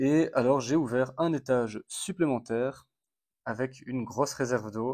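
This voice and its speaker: The background is silent on this very clean recording. A man talks at a medium pitch, his pitch variation ordinary. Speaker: ant-keeping hobby vlogger. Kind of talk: casual video blog commentary. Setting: at home in apartment. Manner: hesitant, many fillers.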